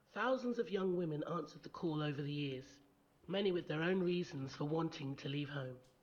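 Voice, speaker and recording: Fairly quick delivery over noticeable background noise. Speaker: event host. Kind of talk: scripted narration. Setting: stage with audience.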